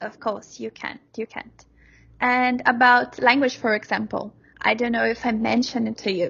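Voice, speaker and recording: A woman with a Brazilian accent at a moderate pace. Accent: Brazilian-accented English, non-native. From Brazil, Sao Paulo. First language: Portuguese. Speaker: software developer. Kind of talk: interview. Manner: halting, frequent repetitions.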